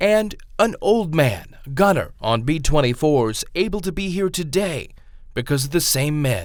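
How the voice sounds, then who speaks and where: This is an unremarkable speaking voice with lively intonation. The pace is fairly slow. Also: man, fairly high pitch for a man. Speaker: news reporter. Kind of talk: news feature narration.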